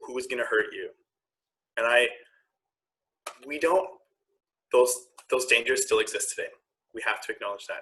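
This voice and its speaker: A man with a Canadian accent, moderate in pace, with long, frequent pauses and big swings in loudness. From Ontario, Canada. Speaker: queer activist and health worker. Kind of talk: panel conversation.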